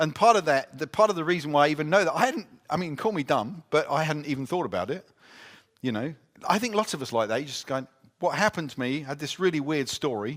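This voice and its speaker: Using an English accent, a man with a fairly high pitch talks at a very fast pace with lively intonation. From Britain. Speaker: conference speaker. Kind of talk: talk and Q&A at church conference.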